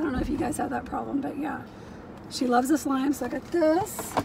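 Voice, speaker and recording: A woman speaks with a high pitch. Light background noise is present. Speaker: reseller vlogger. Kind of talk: casual vlog chat. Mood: cheerful, chatty. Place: car. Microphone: phone near.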